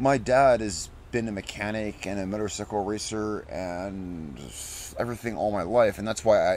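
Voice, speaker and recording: With an American accent, this is an unremarkable speaking voice at a moderate pace with ordinary pitch variation. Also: man, fairly low pitch for a man. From United States. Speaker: gaming youtuber. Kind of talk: gameplay commentary. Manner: casual, rambling with restarts.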